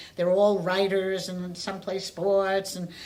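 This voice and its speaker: Audible room echo surrounds a woman speaking at a fairly slow pace with a medium pitch. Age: 70s. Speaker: domestic violence survivor. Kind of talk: testimony. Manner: halting.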